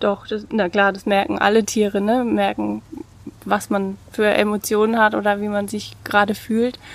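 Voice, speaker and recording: A woman's medium-pitched, monotone, flat delivery at a moderate pace. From Lower Franconia, Bavaria (Bad Kissingen). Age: 30s. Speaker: former nurse and teacher, pet cremation business owner. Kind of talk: casual interview.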